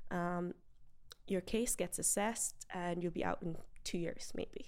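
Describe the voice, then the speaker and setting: With an Irish accent, a woman speaks fairly slowly at medium pitch in a dark, mellow tone with fairly even intonation. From Ireland (raised from early childhood, Galway area). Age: 20s. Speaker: beauty pageant winner and medical scientist. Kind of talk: interview.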